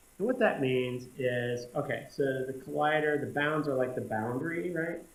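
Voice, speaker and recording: A man with a medium pitch talks at a moderate pace with ordinary pitch variation. Noticeable background noise is present. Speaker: coding tutorial instructor. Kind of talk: screencast tutorial narration.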